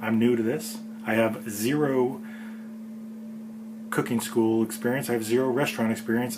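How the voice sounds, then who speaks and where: A man speaks at a moderate pace and medium pitch. Noticeable background noise and audible room echo are present. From California. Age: middle-aged. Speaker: home cook host. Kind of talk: casual vlog commentary. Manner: halting.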